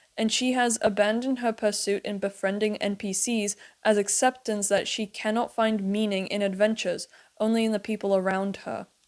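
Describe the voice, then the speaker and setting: On a very clean recording with a silent background, a woman uses an ordinary speaking voice with a fairly high pitch, fairly even intonation and a fairly quick pace. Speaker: video essayist on animated series. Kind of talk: commentary video essay.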